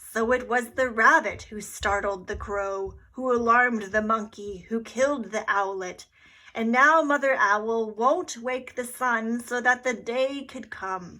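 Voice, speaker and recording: Using a put-on character voice at a fairly high pitch, a woman talks at a fairly slow pace on a very clean recording with a silent background. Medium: read story.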